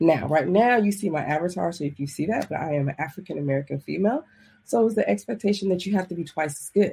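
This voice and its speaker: A woman's fairly low, somewhat breathy voice, dark and mellow in tone, at a very fast pace with lively intonation and big swings in loudness. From US, military family, moved around (South, Hawaii, East Coast). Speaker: life coach. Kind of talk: interview. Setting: remote call.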